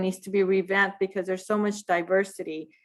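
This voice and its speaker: A woman is speaking. She has a Spanish accent. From US, Mexican American family. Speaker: graduate student. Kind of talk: class discussion. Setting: video call.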